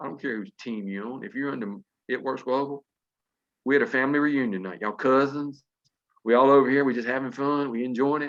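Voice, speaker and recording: Talking at a very fast pace, a man at medium pitch shows ordinary pitch variation and big swings in loudness. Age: 60s. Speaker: network marketing distributor. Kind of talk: motivational talk. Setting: video call. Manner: animated.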